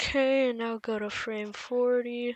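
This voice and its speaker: Quiet and very slow, a woman speaks with fairly even intonation. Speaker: animation tutorial youtuber. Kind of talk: tutorial. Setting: at home with other people present. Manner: subdued.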